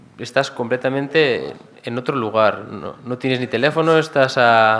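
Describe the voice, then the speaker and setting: Here a man talks at a moderate pace in a medium pitch. His pitch varies in an ordinary way. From Basque Country, Gipuzkoa. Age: young. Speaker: engineer in development cooperation. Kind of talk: talk Q&A with audience. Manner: hesitant, many fillers.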